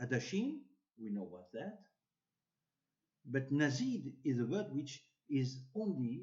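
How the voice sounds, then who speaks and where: A man with a non-native accent, medium pitch, dark, mellow tone and lively intonation, fairly slow with long, frequent pauses and big swings in loudness. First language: French or Hebrew. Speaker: bible teacher. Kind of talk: religious teaching talk. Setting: social media video. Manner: halting.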